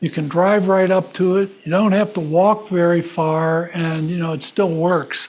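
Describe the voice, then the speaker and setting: A man speaks at a fairly slow pace in a high pitch. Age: 70s. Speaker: astronomy instructor. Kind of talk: lecture with audience Q&A. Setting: classroom with live audience. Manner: halting, many fillers.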